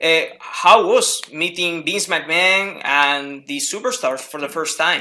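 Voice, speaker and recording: Speaking very slowly with a Spanish accent, a man uses a high pitch with ordinary pitch variation and big swings in loudness. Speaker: wrestling interviewer. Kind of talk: interview. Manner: halting, many fillers.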